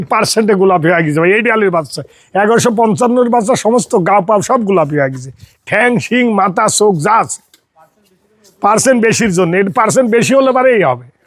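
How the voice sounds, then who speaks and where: The speaker is a man with a high-pitched voice. His intonation is lively. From Bangladesh, Pabna (Ishwardi). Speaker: dairy farmer. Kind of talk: sales pitch.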